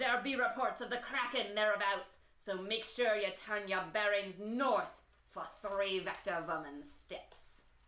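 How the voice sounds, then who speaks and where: In a put-on character voice, a woman speaks at a medium pitch and a fairly slow pace. She hardly pauses, and an echo is audible. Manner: theatrical, enjoying it.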